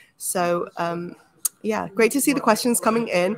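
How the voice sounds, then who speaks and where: A woman with a London accent, lively intonation and a moderate pace. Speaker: program manager hosting a workshop. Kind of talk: webinar introduction.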